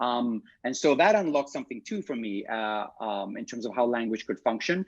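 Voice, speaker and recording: A man with an East African accent, lively intonation, and a fairly quick pace, set against a quiet background. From Kenya, Nairobi. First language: Swahili. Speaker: theatre director. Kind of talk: interview. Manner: halting, many fillers.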